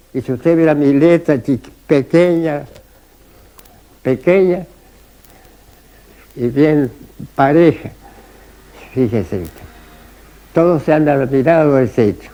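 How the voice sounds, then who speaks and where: With noticeable background noise behind him, a man with a fairly high pitch and ordinary pitch variation speaks at a very slow pace, with long, frequent pauses. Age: 90s. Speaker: retired rural doctor. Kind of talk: interview testimony. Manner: halting, repetitive.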